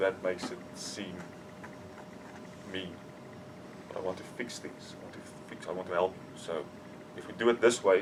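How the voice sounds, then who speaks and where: A man with a very deep, low voice speaks with fairly even intonation, big swings in loudness and long, frequent pauses. Noticeable background noise runs underneath. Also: moderate pace. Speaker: coaching client. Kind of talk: coaching session.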